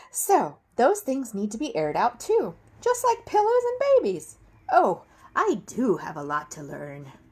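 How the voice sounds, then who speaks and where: A woman puts on a character voice, pitched high and delivered at a moderate pace. Her loudness swings widely. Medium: read story. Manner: earnest, folksy.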